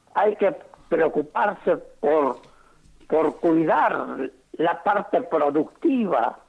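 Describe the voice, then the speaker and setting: Pitched high, a man's voice rises and falls with lively intonation. He goes at a very slow pace with long, frequent pauses. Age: 80s+. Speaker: retired doctor. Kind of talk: phone interview.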